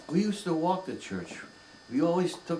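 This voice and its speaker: A man speaks over noticeable background noise. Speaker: grandfather. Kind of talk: interview answer.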